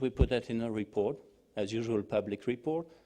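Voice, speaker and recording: In a French accent, a man speaks at a moderate pace and medium pitch with a dark, mellow tone, recorded very cleanly against a silent background. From France. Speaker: think-tank analyst. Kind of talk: panel discussion. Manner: hesitant.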